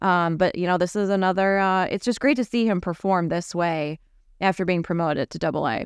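A woman speaks at a fairly quick pace and medium pitch with ordinary pitch variation, in a plain, everyday voice. The recording is very clean, with a silent background. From Wisconsin, Milwaukee area. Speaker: baseball podcast host. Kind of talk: casual chat.

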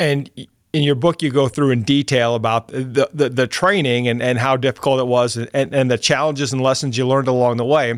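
In a plain, everyday voice at medium pitch, a man talks at a fairly quick pace with hardly any pauses, fairly even intonation and very even loudness, on a very clean recording with a silent background. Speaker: podcast host. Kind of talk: interview with scripted intro.

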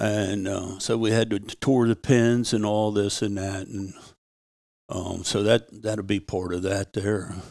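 A man's fairly low voice in an American accent, fairly slow and monotone, on a very clean recording with a silent background. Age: 70s. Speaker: retired coon hunter and former ranch cowboy. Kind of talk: casual interview storytelling.

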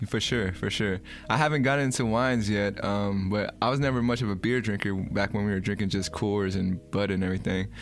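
A man with an American accent talks at a fairly quick pace in an unremarkable speaking voice. His pitch varies in an ordinary way, and his loudness stays very even. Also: fairly low pitch for a man. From San Francisco, California. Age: 30s. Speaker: podcast host. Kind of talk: casual chat.

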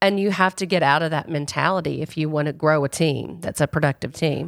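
With an American accent and a plain, everyday voice, the speaker talks at a fairly quick pace with ordinary pitch variation, in a very clean recording with a silent background and a dry, close sound with no echo. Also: woman. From rural US South. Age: 50s. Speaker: podcast host, PR agency CEO. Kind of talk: casual interview chat. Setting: studio.

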